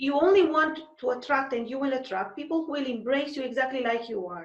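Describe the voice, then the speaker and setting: A woman with a non-native accent and a high pitch speaks with lively intonation, with audible room echo. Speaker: podcast host, advertising strategist. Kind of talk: interview.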